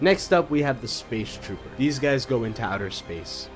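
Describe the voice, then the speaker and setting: With music in the background, a male voice talks at a medium pitch. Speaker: YouTube commentator. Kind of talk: casual talk to camera.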